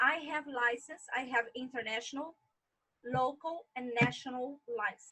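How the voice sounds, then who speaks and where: The voice is raised and projected, with a bright, sharp tone and an American accent. Intonation stays fairly even at a fairly slow pace. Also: woman, high pitch for a woman. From Brazil. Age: 40s. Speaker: tour guide. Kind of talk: interview.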